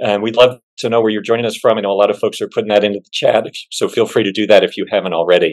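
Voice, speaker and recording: The background stays quiet. A man talks. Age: middle-aged. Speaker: church agency executive, webinar host; webinar host. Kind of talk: webinar moderation. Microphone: video call.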